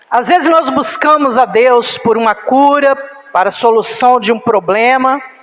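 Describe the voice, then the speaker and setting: A woman speaks in a high voice with ordinary pitch variation. Background noise is noticeable. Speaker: pastor. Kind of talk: sermon.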